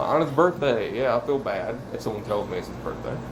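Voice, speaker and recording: A man talking at a fairly slow pace over noticeable background noise. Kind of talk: casual vlog monologue. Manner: rambling, changes voice.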